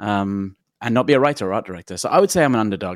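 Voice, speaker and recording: On a very clean recording with a silent background and a dry, close sound with no echo, a man talks at a very fast pace with a fairly low pitch and ordinary pitch variation. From London, England. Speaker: technology consultant. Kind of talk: interview.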